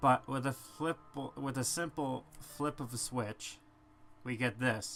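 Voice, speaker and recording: A man talks with fairly even intonation while music plays in the background. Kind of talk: casual gameplay commentary.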